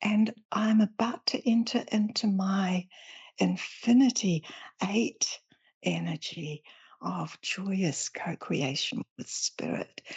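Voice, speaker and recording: A woman speaks at a very slow pace and medium pitch. Her intonation is lively and her voice somewhat breathy. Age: 70s. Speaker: spiritual teacher and author. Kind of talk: interview.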